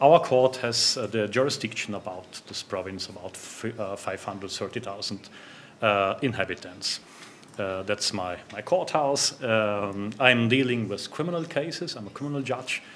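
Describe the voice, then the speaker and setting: With a German accent, a man talks at a moderate pace and medium pitch, his pitch varying in an ordinary way while his loudness swings widely over noticeable background noise. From South Tyrol, northern Italy (German-speaking). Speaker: judge. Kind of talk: conference talk. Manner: halting, many fillers.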